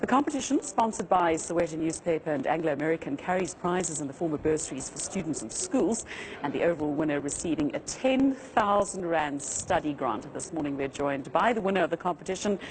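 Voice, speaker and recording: A woman speaks very fast with lively intonation and a fairly low pitch. Noticeable background noise runs underneath. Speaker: TV news presenter. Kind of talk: TV interview; news reading.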